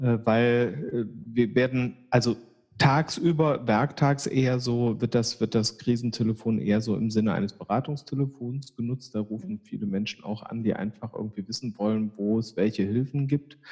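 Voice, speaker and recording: An ordinary speaking voice moves at a moderate pace with fairly even intonation and hardly any pauses. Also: man, medium pitch for a man. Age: 50s. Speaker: psychiatrist, chair of a community psychiatry association. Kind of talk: interview.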